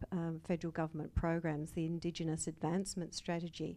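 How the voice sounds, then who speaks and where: Speaking fairly quickly with an Australian accent, a woman has a fairly low pitch and a dark, mellow tone. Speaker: entrepreneur, audience questioner. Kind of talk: audience question. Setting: live event with audience.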